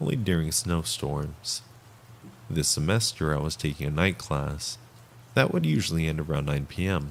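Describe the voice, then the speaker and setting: A man with an American accent, very deep and low in pitch, at a moderate pace with ordinary pitch variation. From Texas. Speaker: live streamer reading scary stories. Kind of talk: reading aloud. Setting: live stream. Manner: calmer reading voice.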